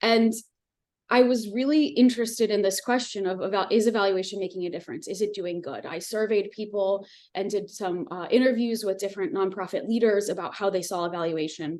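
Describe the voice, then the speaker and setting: Here is a woman with an American accent and an unremarkable speaking voice at medium pitch. She talks at a fairly quick pace with ordinary pitch variation. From US. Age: 30s. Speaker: professor. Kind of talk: lecture.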